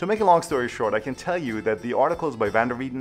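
Faint music plays in the background as a man speaks at a very fast pace. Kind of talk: educational commentary to camera.

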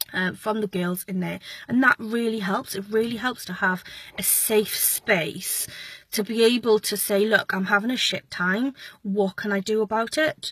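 The speech moves at a moderate pace, with a dry sound that has no echo and a quiet background. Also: woman. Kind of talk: casual vlog chat. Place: car. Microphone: phone near.

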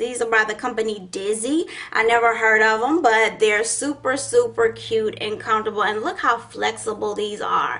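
Delivery runs at a fairly slow pace. The pitch variation is ordinary. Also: woman. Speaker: beauty vlogger. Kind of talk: casual haul vlog chat. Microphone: phone near.

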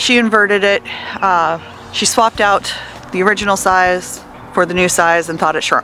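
At a moderate pace, a woman speaks with ordinary pitch variation over light background noise, the sound dry with no echo. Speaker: vlogger. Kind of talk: casual vlog chat. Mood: frustrated, venting. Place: street. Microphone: earbuds.

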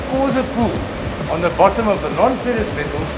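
A man's voice with ordinary pitch variation over loud background noise. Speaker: welding instructor. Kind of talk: demonstration explanation. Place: workshop.

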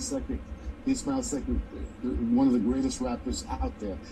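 Here a man talks at a moderate pace with an American accent. Noticeable background noise is present. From New York City (Brooklyn); New York City. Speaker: filmmaker; guest. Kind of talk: TV interview. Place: home room.

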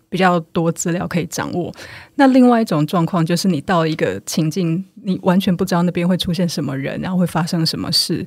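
Talking at a fairly quick pace, a woman with an unremarkable speaking voice has a fairly low pitch and ordinary pitch variation. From Taiwan. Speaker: nonprofit manager and author. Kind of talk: podcast interview.

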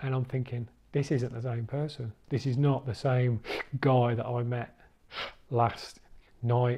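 Very slowly, a man speaks in a medium pitch, his dark, mellow tone somewhat breathy. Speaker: person who stammers, recovering stammerer. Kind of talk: documentary interview answer. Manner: hesitant, with repeated syllables and blocks. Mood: reflective, animated storytelling. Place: home room. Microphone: lapel.

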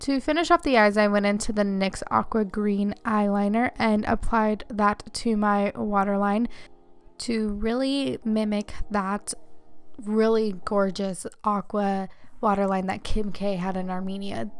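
A woman talks fairly slowly while music plays behind her. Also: medium pitch for a woman. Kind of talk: makeup tutorial talk to camera. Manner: monotone.

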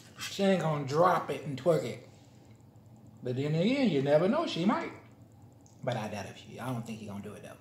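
Talking at a fairly quick pace, a man shows big swings in loudness amid audible room echo and light background noise. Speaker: vlogger. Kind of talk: casual vlog chat while eating. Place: home room. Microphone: phone near.

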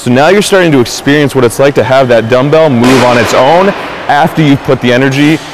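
Moderate-paced speech from a man, dry with no echo, over noticeable background noise. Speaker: fitness instructor. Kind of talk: tutorial; coaching cues. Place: gym.

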